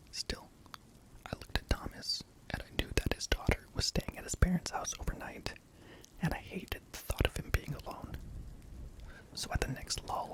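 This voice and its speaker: A man whispers at a moderate pace, recorded dry and close with no echo, with noticeable background noise behind him. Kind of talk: scary story reading. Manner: whispered.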